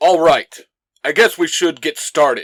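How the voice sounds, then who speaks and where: The speaker puts on a character voice at a moderate pace. Its pitch stays in the middle range. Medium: audio drama. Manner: earnest, commanding.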